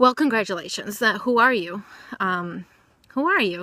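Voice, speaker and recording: Loud and bright with a sharp tone, a woman speaks at a moderate pace with ordinary pitch variation, the sound dry and close with no echo on a very clean recording against a silent background. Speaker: vlogger. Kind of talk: personal vlog monologue. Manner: excitable.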